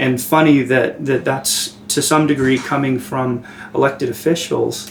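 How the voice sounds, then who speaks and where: Over noticeable background noise, a man talks at a fairly slow pace and medium pitch with fairly even intonation. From Santa Fe, New Mexico. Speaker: documentary interviewer. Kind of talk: interview.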